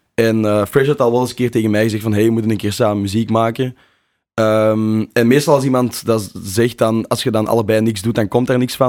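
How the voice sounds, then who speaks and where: At a fairly quick pace, a man speaks in a flat monotone at medium pitch. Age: 20s. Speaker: drum and bass DJ and producer. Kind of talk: casual interview chat. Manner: halting, many fillers and repeats.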